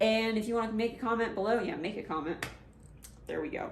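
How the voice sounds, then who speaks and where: Noticeable background noise and audible room echo surround a woman speaking in a fairly high pitch. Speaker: vlogger, adaptive athlete. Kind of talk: casual vlog advice talk. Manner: halting, jumbled.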